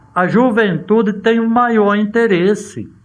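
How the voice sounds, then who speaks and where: A man talks at a very slow pace. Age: 70s. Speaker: retired teacher, lecturer on culture. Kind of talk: casual talk at cultural event. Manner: halting, with many fillers.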